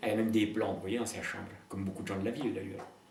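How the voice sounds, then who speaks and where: Audible room echo follows this man as he speaks. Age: 80s+. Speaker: peasant philosopher. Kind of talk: interview. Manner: hesitant, repetitive.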